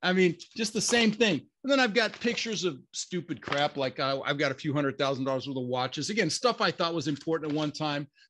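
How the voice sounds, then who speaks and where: Racing along at a very fast pace, a man speaks in an animated tone with lively intonation. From Denver, Colorado, US (immigrated from Netherlands at six). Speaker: real estate investor. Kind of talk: interview.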